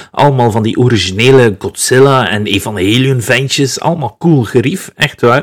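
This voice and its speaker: With a Flemish accent, a man speaks at medium pitch and a moderate pace. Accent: Flemish Dutch. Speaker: podcast host. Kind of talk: solo music show talk. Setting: alone at home bar.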